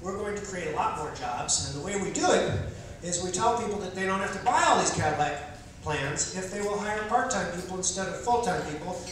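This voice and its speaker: A man speaks at a high pitch with ordinary pitch variation. Strong room echo and light background noise are present. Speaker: political candidate doing stand-up. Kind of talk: stand-up comedy with political satire, delivered as a campaign speech. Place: stage.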